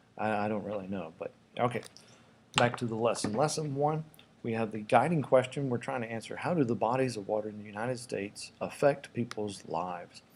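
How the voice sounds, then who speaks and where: The man speaks at a medium pitch and a fairly quick pace. His pitch variation is ordinary. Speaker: middle school teacher. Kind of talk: recorded lesson. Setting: classroom desk at school. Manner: fast.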